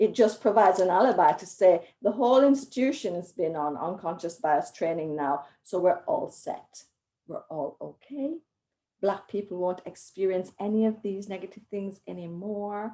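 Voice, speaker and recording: A woman with a medium-pitched voice and a dark, mellow tone talks at a moderate pace, her loudness swinging widely. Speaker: academic panelist. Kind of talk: panel discussion.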